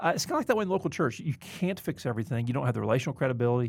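A man with a Southern US accent, medium pitch, vocal fry and lively intonation at a very fast pace, on a very clean recording with a silent background. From US South, Mobile, Alabama. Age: 40s. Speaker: seminary president and podcast host. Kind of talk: casual interview conversation. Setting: studio.

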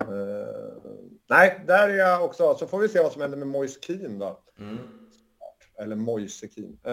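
A man's high voice with very wide pitch swings. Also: big swings in loudness. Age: 40s. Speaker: football analytics company co-founder. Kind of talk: casual chat.

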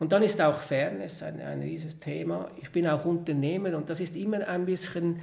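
A man speaks with a Swiss accent. The room echo can be heard. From Switzerland, Lake Zurich area. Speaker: entrepreneur. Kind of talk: interview.

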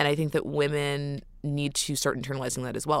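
A woman with a very deep, low pitch and an American accent at a fairly quick pace, in a very clean recording against a silent background. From New York City. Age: 20s. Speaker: public relations executive. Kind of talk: interview. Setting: studio.

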